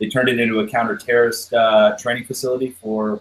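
The speaker is a man moving at a fairly quick pace. Noticeable background noise is present throughout. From Canada. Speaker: airsoft milsim player. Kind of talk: casual chat.

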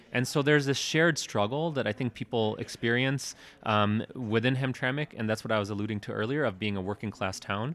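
A man with an American accent, an ordinary speaking voice, medium pitch and ordinary pitch variation, talking at a fairly quick pace with hardly any pauses. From US Midwest, Detroit. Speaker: documentary filmmaker. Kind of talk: interview. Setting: film festival.

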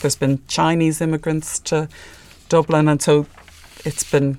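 In a very clean recording with a silent background, a woman speaks at a moderate pace with a very deep, low pitch, a dark, mellow tone and fairly even intonation. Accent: Irish. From Ireland. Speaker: filmmaker. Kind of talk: interview.

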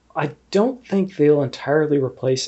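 His pitch varies in an ordinary way, and his pace is moderate. The man's voice has some breathiness. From Canada, Ontario. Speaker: analytical chemist. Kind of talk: interview.

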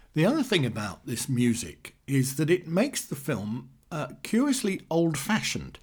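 A man speaks at a moderate pace in a somewhat breathy voice that makes very wide pitch swings. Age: 60s. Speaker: film reviewer podcaster. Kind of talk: monologue review. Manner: hesitant, many fillers.

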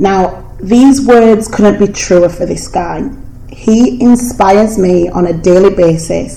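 A woman talks very slowly, her voice carrying clear room echo against noticeable background noise. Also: medium pitch for a woman, ordinary pitch variation. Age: 20s. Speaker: podcast host. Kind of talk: casual interview chat. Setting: at a friend's house. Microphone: cheap microphone, poor sound quality.

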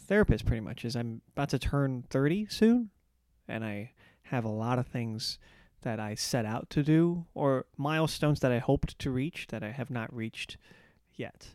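An unremarkable speaking voice moves at a moderate pace with ordinary pitch variation. The very clean recording has a silent background and a dry, close sound with no echo. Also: man. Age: 30s. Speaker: comedian and podcast host. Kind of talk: casual chat.

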